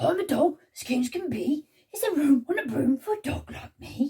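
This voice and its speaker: A woman's put-on character voice, high in pitch, at a moderate pace. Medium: read story. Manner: eager.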